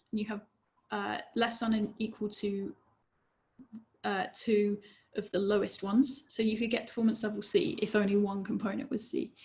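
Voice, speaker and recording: Somewhat breathy and fairly high in pitch, this woman's voice carries a dark, mellow tone and ordinary pitch variation. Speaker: safety engineer presenter. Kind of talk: webinar presentation.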